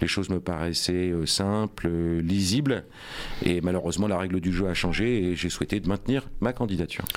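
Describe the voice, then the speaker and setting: A man with a very deep, low pitch talks at a moderate pace, with ordinary pitch variation and very even loudness. Noticeable background noise is present. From France, Rouen (Normandy). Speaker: politician, mayoral candidate. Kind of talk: radio interview. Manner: hesitant, many fillers.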